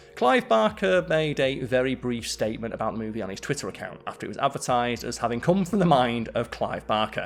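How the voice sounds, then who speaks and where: Over music in the background, a man races along at a very fast pace with lively intonation and hardly any pauses. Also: medium pitch for a man. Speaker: video essay host. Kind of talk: scripted narration. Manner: animated.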